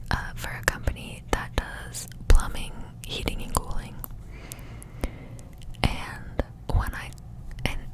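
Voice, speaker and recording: Whispering at a very slow pace, a woman leaves long, frequent pauses and shows big swings in loudness over noticeable background noise. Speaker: ASMR creator and parent. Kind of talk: up-close whispered ramble about her life. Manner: whispered, up close.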